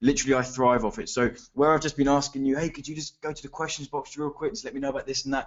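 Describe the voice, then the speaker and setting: A man with a fairly high voice speaks very fast, with hardly any pauses, ordinary pitch variation and big swings in loudness. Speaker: webinar presenter, online marketing trainer. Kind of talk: webinar presentation. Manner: animated.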